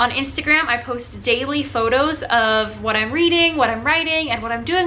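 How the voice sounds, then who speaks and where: A woman's high voice at a fairly quick pace, with audible room echo and noticeable background noise. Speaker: book reviewer on video channel. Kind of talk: casual video review. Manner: fast; animated.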